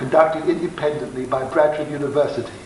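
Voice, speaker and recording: A man with a fairly high pitch talks at a fairly quick pace, with audible room echo and noticeable background noise. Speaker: doctor giving a lecture. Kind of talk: lecture. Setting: festival lecture hall with audience. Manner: fast; partly reading aloud.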